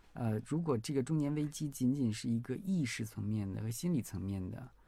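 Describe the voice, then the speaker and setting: This man talks at a fairly quick pace in a dark, mellow, somewhat breathy tone with ordinary pitch variation. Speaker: researcher. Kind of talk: casual chat.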